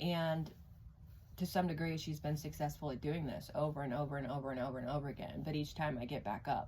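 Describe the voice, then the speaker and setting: A woman's very deep, low voice with a dark, mellow tone and vocal fry. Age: 40s. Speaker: tarot reader. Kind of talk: personal testimony. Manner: hesitant, many fillers.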